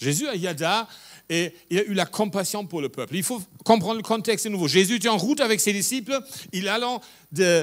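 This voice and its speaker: A high-pitched man speaks with lively intonation in a very clean recording with a silent background. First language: German (speaking French). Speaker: pastor. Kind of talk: sermon.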